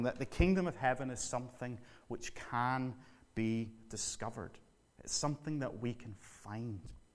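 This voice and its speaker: A man in a Northern Irish accent speaks at a moderate pace and medium pitch, his intonation lively and his loudness swinging widely. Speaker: visiting preacher. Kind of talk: sermon.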